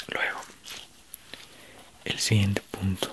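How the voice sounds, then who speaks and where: A man is whispering. He goes at a very slow pace. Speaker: ASMR creator; teacher. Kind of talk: ASMR sleep video. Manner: soft-spoken. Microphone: studio mic.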